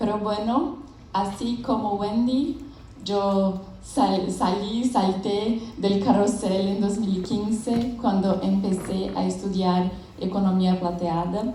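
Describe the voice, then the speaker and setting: A woman with a Brazilian accent at a very slow pace, ordinary pitch variation, noticeable background noise and audible room echo. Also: medium pitch for a woman. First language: Portuguese (speaking Spanish). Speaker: business founder and researcher. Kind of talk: conference presentation. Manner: halting.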